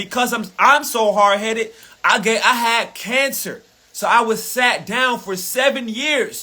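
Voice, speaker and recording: Raised and projected, a man's voice rings out at an extremely high pitch, animated in tone and bright, sharp in sound. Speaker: spiritual motivational speaker. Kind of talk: live motivational rant. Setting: livestream. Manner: loud, yelling.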